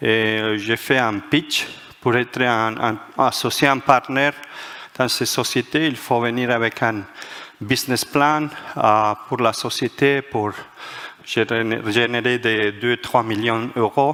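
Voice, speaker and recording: Over noticeable background noise, a man with a medium pitch speaks very slowly, with fairly even intonation and long, frequent pauses. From Spain, Madrid. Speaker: management author and speaker. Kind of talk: conference talk. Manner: halting, many hesitations.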